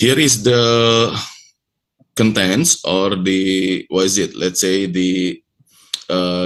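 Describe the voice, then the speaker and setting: A man speaks with an Indonesian accent. His pitch is very deep and low, with ordinary pitch variation. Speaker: university lecturer presenting research. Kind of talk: conference presentation. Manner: halting, with many fillers.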